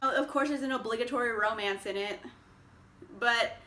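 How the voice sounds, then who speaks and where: A woman speaks in a raised, projected voice with an upbeat tone and ordinary pitch variation. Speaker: book reviewer. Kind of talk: casual talk to camera. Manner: chatty, upbeat.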